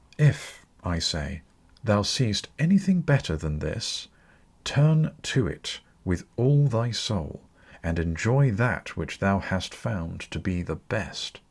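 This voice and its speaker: A somewhat breathy man speaks at a very slow pace with very wide pitch swings on a very clean recording with a silent background. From British. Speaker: audiobook narrator. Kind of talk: audiobook reading of classical philosophy.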